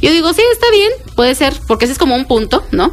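Lively intonation and a fairly quick pace come through noticeable background noise. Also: woman. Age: 30s. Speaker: baker and social media entrepreneur. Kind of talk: interview.

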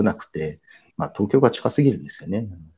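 In a quiet background, a man speaks with a fairly low pitch and a dark, mellow tone. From Kumamoto, Japan. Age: 50s. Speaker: art event planner. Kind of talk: interview conversation.

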